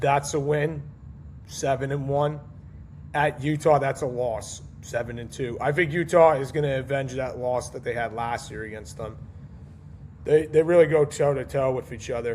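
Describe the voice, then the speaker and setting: A somewhat breathy male voice with fairly even intonation. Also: fairly high pitch for a man, moderate pace, big swings in loudness. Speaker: college football podcast host. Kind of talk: casual solo podcast, predictions. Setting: home recording at night, baby asleep nearby. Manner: hesitant, many fillers.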